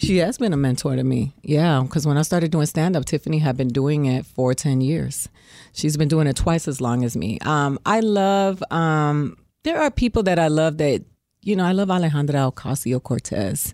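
Her very deep, low pitch and dark, mellow tone carry lively intonation at very even loudness as a woman with an American accent speaks on a very clean recording with a silent background. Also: moderate pace. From Miami, Florida. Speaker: comedian and actress. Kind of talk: casual interview chat.

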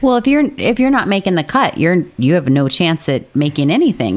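Fairly quick speech from a woman, very wide pitch swings, noticeable background noise. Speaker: golf podcast host. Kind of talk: casual chat. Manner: animated.

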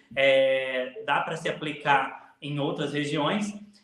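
Noticeable background noise and audible room echo surround a man whose pitch sits fairly high. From Alta Mogiana, São Paulo state, Brazil. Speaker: coffee farmer and social media influencer. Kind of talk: interview.

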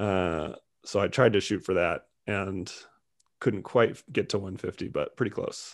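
In a plain, everyday voice with an American accent, a man speaks fairly slowly at a fairly low pitch with fairly even intonation against a quiet background. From California. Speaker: comedian and comedy club owner. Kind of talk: casual interview.

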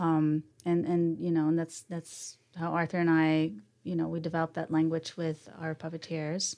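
This woman has a fairly low pitch and a dark, mellow tone, delivered in a monotone, flat intonation. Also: moderate pace. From Sweden. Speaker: animation studio co-founder, musician. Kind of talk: casual interview.

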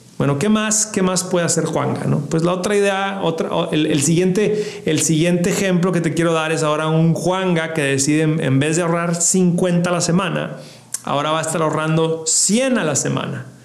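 A man's high-pitched voice at a moderate pace, with fairly even intonation, noticeable background noise and audible room echo. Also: very even loudness. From Mexico, Ciudad Juárez. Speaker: financial podcast host, investment expert. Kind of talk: educational monologue. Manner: repeats words, self-corrects.

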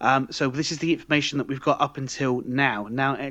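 A man talks with a British accent at a moderate pace. His pitch varies normally against a quiet background. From UK. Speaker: podcast co-host. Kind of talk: casual chat.

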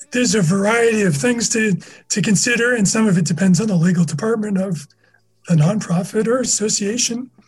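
In an American accent, a man talks at a fairly quick pace and a high pitch with ordinary pitch variation. His loudness stays very even. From US Northeast (Massachusetts). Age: 50s. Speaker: SEO manager. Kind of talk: casual interview.

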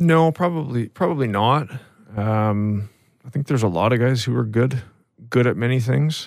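A man with a Canadian accent uses an ordinary speaking voice at a moderate pace, keeping a medium pitch, ordinary pitch variation and very even loudness. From British Columbia, Canada (Interior). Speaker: retired hockey player. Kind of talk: interview.

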